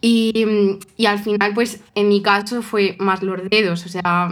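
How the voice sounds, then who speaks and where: Using an ordinary speaking voice, the woman keeps a medium pitch and fairly even intonation. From Spain, Toledo. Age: 20s. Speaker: cellist and coach. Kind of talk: casual interview.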